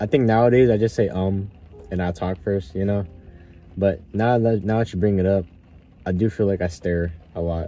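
Over music in the background, a man with a fairly low voice speaks at a moderate pace with fairly even intonation and long, frequent pauses. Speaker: podcast host. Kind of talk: casual chat. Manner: hesitant, with pauses.

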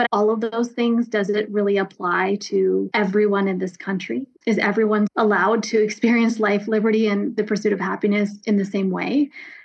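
A woman with an American accent speaks at a moderate pace in a medium pitch, with noticeable background noise. Her intonation is monotone and flat, and her loudness stays very even. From US East Coast (DC area, New Jersey). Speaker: nonprofit executive director. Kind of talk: interview.

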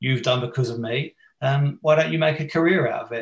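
A man with an English accent, fairly high in pitch and somewhat breathy, at a moderate pace with ordinary pitch variation. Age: 40s. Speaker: teacher and performance coach. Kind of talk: casual interview.

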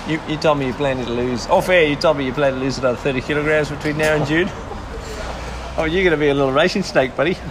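A man with a fairly high voice speaks at a fairly quick pace with fairly even intonation. Noticeable noise sits in the background. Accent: Australian. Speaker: podcast co-host.

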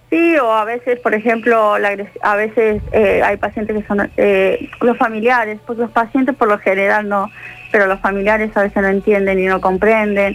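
A woman speaks at a moderate pace with fairly high pitch, fairly even intonation and very even loudness over noticeable background noise. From Argentina, Bariloche. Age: 50s. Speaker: nurse. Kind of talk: radio interview.

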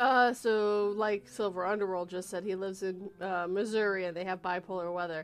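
At a moderate pace, a woman with a plain, everyday voice speaks at a medium pitch and fairly even intonation, with hardly any pauses over a quiet background. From western Canada, Vancouver area. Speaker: live stream host. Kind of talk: casual chat. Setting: live stream.

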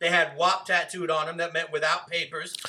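A man with an American accent, high in pitch and monotone, with flat intonation, at a fairly quick pace over noticeable background noise. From Rhode Island, US. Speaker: guest debater. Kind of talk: heated debate. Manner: argumentative, insistent, fast.

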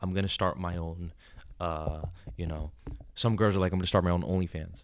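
A man talks in a New York accent. His pitch is very deep and low. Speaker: podcast host, confidence coach. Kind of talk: casual chat. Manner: animated.

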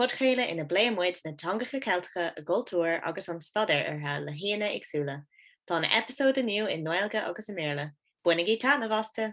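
Here a woman talks in a plain, everyday voice. Her pitch is medium and her pace is moderate. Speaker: podcast host. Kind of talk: podcast intro and outro.

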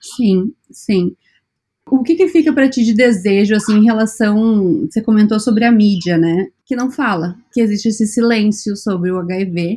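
Speaking at a fairly slow pace, a woman has a dark, mellow, somewhat breathy tone, a fairly high pitch and ordinary pitch variation. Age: 30s. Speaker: podcast host. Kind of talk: interview conversation.

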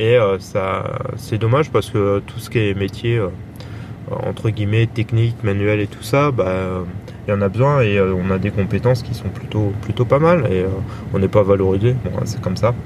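A man speaks fairly low in pitch as noticeable background noise carries on behind him. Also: ordinary pitch variation, moderate pace. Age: 30s. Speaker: podcaster. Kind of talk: casual monologue. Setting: in a car. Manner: halting.

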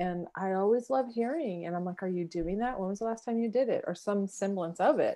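A woman with an American accent talks at a fairly quick pace with hardly any pauses. Her tone is dark and mellow, her pitch medium with ordinary variation. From Southern California (San Diego). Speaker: podcast co-host, life coach. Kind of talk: casual chat. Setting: remote recording, different cities. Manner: animated.

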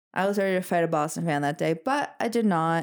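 A woman with an American accent has an ordinary speaking voice and lively intonation. The recording is very clean, with a silent background. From US Midwest. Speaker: podcast co-host. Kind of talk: casual chat.

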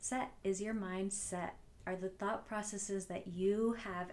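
With an American accent and an unremarkable speaking voice, a woman talks fairly slowly at a medium pitch with fairly even intonation. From New Jersey. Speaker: podcast host, mindset coach. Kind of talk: solo podcast talk.

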